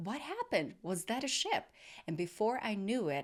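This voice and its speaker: In a non-native accent, a woman speaks at a moderate pace with lively intonation on a very clean recording with a silent background. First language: not English. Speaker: podcast host. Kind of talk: casual interview chat. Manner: halting, searching for words.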